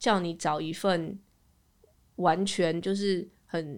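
Recorded very cleanly against a silent background, a woman talks at a medium pitch with ordinary variation. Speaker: podcast host. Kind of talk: casual chat.

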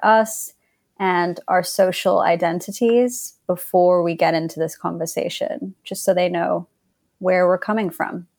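In an American accent, a woman speaks at a medium pitch and a fairly slow pace, with ordinary pitch variation. The recording is very clean, with a silent background. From England. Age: 30s. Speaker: consultant partner. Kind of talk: casual interview chat.

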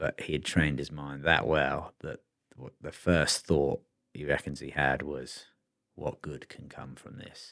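Big swings in loudness mark a man's very deep, low voice with vocal fry. His delivery is fairly slow, with monotone, flat intonation. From England. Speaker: photographer. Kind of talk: casual chat.

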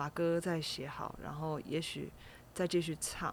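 Her voice sits at a fairly low pitch. The speaker is a woman. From Taiwan, Kaohsiung. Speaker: jazz singer-songwriter. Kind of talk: interview. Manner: soft, gentle.

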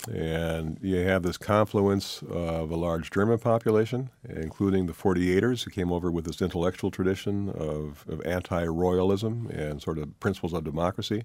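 A man with a Wisconsin accent speaks at a very deep, low pitch and a moderate pace. He uses ordinary pitch variation and hardly any pauses. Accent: Upper Midwest (Wisconsin). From Milwaukee, Wisconsin (south side). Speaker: author and newspaper columnist. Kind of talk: radio interview. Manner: halting, with frequent fillers and repetitions.

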